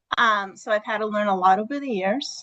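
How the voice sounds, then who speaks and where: A woman's fairly high, bright, sharp voice with a New England accent, ordinary pitch variation and a moderate pace, in a dry, close sound with no echo. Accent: New England, non-rhotic. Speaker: teacher. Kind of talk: self-introduction in online workshop. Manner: hesitant, many fillers.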